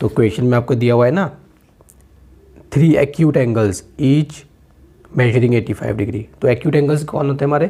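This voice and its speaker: A man with a dark, mellow, somewhat breathy tone speaks at a medium pitch with ordinary pitch variation and very even loudness, leaving long, frequent pauses. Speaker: maths teacher. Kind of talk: tutorial. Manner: conversational, repetitive checks.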